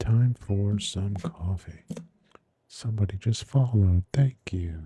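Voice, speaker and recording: Soft-spoken and somewhat breathy, a man speaks at a very slow pace with a fairly low pitch and ordinary pitch variation. His dark, mellow tone comes through a dry, close sound with no echo. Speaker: ASMR livestream crafter. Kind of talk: casual livestream chat. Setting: livestream.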